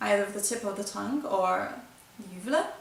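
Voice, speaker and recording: Audible room echo surrounds a woman speaking in a fairly high pitch. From Brazil. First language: Brazilian Portuguese. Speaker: flutist. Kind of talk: tutorial. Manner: halting.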